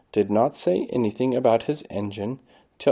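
In an unforced reading voice, the pitch varies in an ordinary way.

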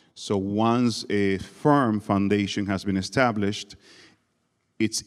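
A man speaks at a fairly low pitch. The recording is very clean, with a silent background.

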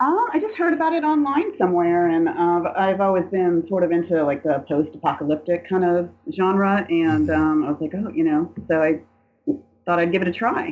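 A woman's fairly low voice with a slight Southern US accent, very even loudness, ordinary pitch variation and a moderate pace. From Atlanta, US South. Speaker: co-host and fan of the show. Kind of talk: casual interview chat.

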